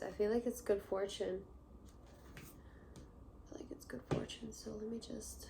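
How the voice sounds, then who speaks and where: Over noticeable background noise, a soft-spoken woman talks at a medium pitch with ordinary pitch variation. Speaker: tarot reader. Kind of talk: tarot reading. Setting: indoors.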